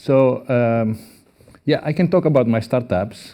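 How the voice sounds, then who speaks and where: A man with a Greek accent speaks at a moderate pace in a medium pitch. His tone is dark and mellow, with ordinary pitch variation. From Greece. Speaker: professor. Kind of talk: conference talk.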